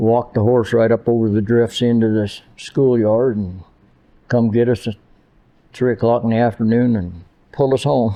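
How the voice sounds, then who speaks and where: This man's voice sits at a medium pitch and carries a Great Plains accent. His intonation stays fairly even at a moderate pace. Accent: rural Great Plains American. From Nebraska Panhandle. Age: 80s+. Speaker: rancher. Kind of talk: casual interview.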